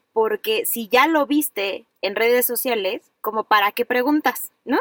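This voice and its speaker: High pitch and a fairly slow pace in a woman's speech. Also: dry, close sound with no echo. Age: 30s. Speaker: podcast host, psychologist. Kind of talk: casual chat.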